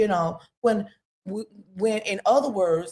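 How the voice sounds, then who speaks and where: At a moderate pace, a woman speaks somewhat breathily, her pitch fairly high and her tone dark and mellow. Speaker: podcast guest. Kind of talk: casual chat.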